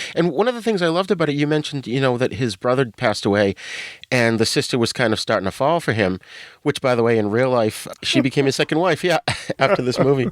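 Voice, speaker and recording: A man with a New England accent, very fast and with lively intonation, in a very clean recording with a silent background and a dry, close sound with no echo. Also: medium pitch for a man. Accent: New England, non-rhotic. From Boston, New England. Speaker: podcast guest, podcaster. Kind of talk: casual chat.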